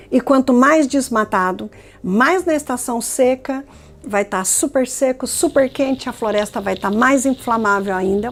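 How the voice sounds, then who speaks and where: Music in the background behind a woman's high voice, fairly slow in pace with ordinary pitch variation. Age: 60s. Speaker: climate scientist. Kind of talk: documentary interview.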